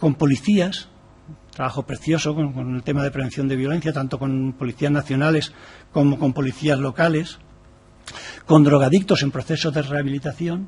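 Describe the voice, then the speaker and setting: A man speaks at a moderate pace with fairly even intonation. His voice is fairly high and somewhat breathy. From Valencia, Spain. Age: 60s. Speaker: activist speaker on gender equality. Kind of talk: formal presentation to a parliamentary committee. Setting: parliamentary committee room.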